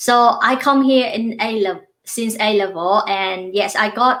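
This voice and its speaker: A woman speaks with a Vietnamese accent. Her voice is fairly high, with ordinary pitch variation. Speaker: university lecturer. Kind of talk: interview.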